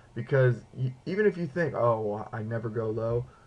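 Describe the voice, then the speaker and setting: Somewhat breathy, a man talks at a moderate pace in a medium pitch. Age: 20s. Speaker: video blogger, student with diabetes. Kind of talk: video blog tutorial. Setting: home apartment. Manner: casual, filler-heavy.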